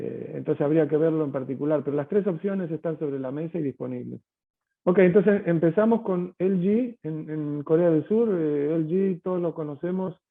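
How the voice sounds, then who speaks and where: Pitch varies in an ordinary way as a man speaks in a fairly high register. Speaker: tech company sales executive. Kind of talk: webinar Q&A answer. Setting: online webinar. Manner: hesitant, many fillers and repetitions.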